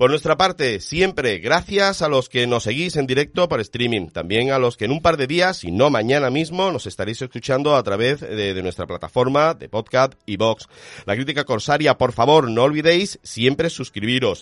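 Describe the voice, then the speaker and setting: This man has an unremarkable speaking voice at medium pitch, with lively intonation and hardly any pauses at a moderate pace. The sound is dry and close, with no echo. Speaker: radio film show host. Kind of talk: radio show, casual panel chat.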